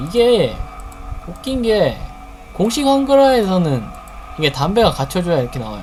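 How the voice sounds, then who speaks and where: The speaker keeps a moderate pace while music sounds in the background. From Gyeongsang province, South Korea. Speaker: game streamer. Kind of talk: gameplay tutorial commentary. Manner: casual, chatty.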